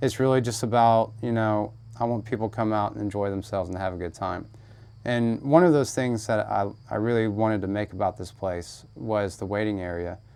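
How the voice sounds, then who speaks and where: A man with an American accent talks at a fairly quick pace in an unremarkable speaking voice. His pitch is fairly low, with ordinary variation. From US South, Georgia. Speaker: haunted house owner. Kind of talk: casual interview.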